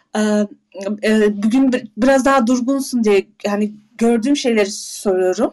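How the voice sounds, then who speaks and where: A woman talks at a very slow pace with a non-native accent. Her pitch is fairly high with ordinary variation, and her loudness stays very even. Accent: non-native Turkish. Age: 40s. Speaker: mother of three, audience participant. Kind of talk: casual chat. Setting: audio chat room. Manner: halting.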